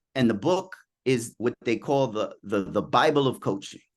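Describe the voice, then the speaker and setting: With a New York accent, a man speaks in an animated tone at a medium pitch and moderate pace over a quiet background. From US Northeast, Queens, New York City. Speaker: executive coach. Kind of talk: podcast interview.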